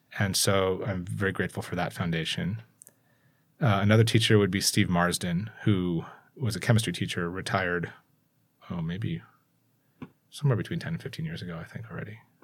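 With an American accent, a man speaks at a fairly quick pace in a very deep, low pitch, using lively intonation and long, frequent pauses. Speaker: school communications executive and tech entrepreneur. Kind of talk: casual interview.

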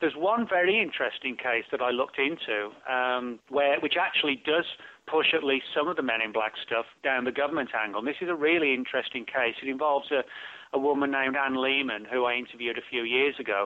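This man has a British accent and a medium pitch. He talks at a very fast pace with ordinary pitch variation. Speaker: author. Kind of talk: interview.

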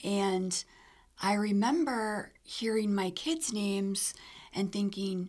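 Here is a woman with a medium pitch. Her voice is somewhat breathy. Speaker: cardiac arrest survivor. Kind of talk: personal testimony.

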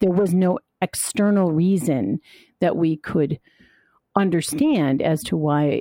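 Speaking in a dark, mellow tone with an American accent, the voice moves at a fairly slow pace with lively intonation and very even loudness, recorded dry and close with no echo against a quiet background. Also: woman. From US Midwest, Chicago suburbs. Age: 60s. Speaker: life coach and memoir author. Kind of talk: interview.

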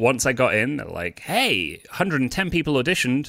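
Over a very clean recording with a silent background, a man with a British accent talks at a moderate pace in a bright, sharp tone with very wide pitch swings. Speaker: stand-up comedian. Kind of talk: casual interview chat.

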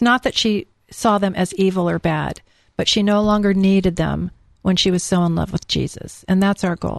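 An unremarkable speaking voice comes from a woman with an American accent, a medium pitch and fairly even intonation, who talks at a moderate pace with big swings in loudness in a dry, close sound with no echo. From California. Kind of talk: radio interview.

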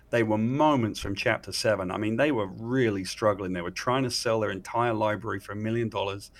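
A man with an English accent speaks at a fairly quick pace in a fairly low voice, his intonation fairly even and hardly any pauses. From England. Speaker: comic book writer. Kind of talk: interview.

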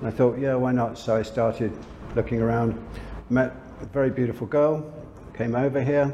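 With a London accent, a man speaks in a monotone, flat way at a moderate pace and medium pitch. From London, England. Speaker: lingerie brand owner. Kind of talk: interview.

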